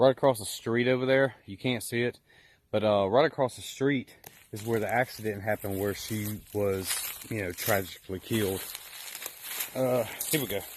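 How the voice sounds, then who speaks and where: Over noticeable background noise, a man talks at a moderate pace with fairly even intonation, big swings in loudness, and long, frequent pauses. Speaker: paranormal investigator. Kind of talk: walkthrough video commentary. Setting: outdoors. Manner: casual.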